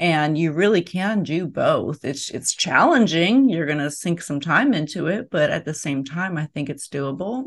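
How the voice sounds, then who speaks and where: A plain, everyday voice with an American accent, lively intonation and a moderate pace. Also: woman, fairly low pitch for a woman. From US, inner city. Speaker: podcast host. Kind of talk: interview.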